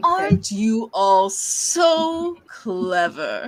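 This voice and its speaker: A female-sounding voice performs a put-on character voice. It sits fairly high and makes very wide pitch swings. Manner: imposing, mocking.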